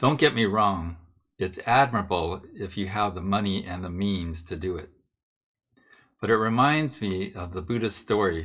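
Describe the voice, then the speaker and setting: A man with a fairly low voice speaks at a fairly slow pace. Room echo is audible. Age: 60s. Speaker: Buddhist minister. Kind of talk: sermon.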